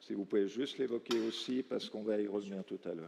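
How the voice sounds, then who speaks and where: In a strong Valais accent, a man speaks with fairly low pitch, ordinary pitch variation, and a dark, mellow tone. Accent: Valais Swiss French accent, strong. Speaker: round table moderator. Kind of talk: panel discussion moderation.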